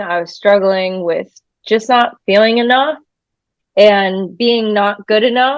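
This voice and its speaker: Very slow speech with an American accent and fairly even intonation. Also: woman. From New Hampshire, US, after early years in New York. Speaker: musician. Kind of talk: interview. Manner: blunt, unfiltered.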